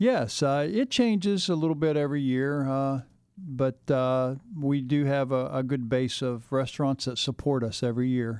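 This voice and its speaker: Moderate pace from a man with fairly high pitch and ordinary pitch variation. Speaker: museum representative. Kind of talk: guest interview in the studio, promoting an event. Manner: halting, with frequent filler words.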